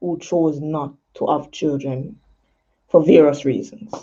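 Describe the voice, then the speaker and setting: A woman speaks with a Jamaican accent in a dark, mellow tone. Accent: Jamaican, patois creeping in. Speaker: poet and talk show host. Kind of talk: casual talk show monologue. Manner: casual, many fillers.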